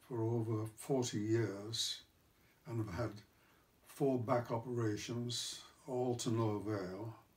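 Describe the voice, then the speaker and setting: At a very slow pace, a man speaks somewhat breathily at a medium pitch with fairly even intonation. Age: 80s+. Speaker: retired executive with Parkinson's disease. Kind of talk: personal talk to camera. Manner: halting, with hesitations and stammers.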